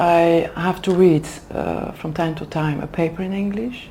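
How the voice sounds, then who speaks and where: Here is a woman with a Flemish Belgian accent and a fairly low pitch. She speaks at a fairly slow pace with ordinary pitch variation. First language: Dutch. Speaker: HR manager for executive development. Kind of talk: interview. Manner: hesitant, many fillers.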